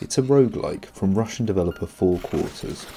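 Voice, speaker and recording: A man's fairly quick, lively-toned speech with music in the background. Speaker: gaming video essayist. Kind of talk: game review video essay.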